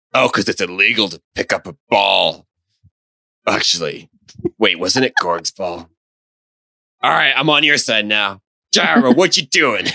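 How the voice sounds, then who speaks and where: A man's put-on character voice at medium pitch, moderate pace, with long, frequent pauses. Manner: stern, sarcastic, easily swayed.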